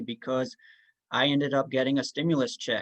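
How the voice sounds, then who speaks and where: Recorded with a dry, close sound and no echo, a man speaks in an unremarkable speaking voice, fairly high-pitched with ordinary pitch variation. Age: 20s. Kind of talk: personal testimony.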